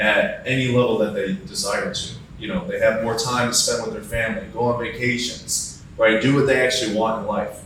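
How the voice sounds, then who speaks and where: A man with an American accent at a fairly quick pace, amid noticeable background noise and audible room echo. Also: hardly any pauses. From US Midwest, Cleveland, Ohio. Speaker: insurance agent and sales coach. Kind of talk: podcast interview.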